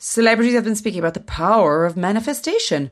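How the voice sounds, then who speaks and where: An unremarkable speaking voice moves at a fairly quick pace on a very clean recording with a silent background. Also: woman. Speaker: podcast co-host. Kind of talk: casual chat.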